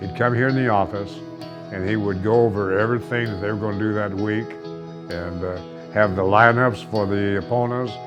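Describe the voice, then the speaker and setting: Over music in the background, a man with a fairly low pitch speaks at a moderate pace with ordinary pitch variation and long, frequent pauses. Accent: American. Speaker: longtime stadium announcer and former football official and coach. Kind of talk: interview answer, casual reminiscing.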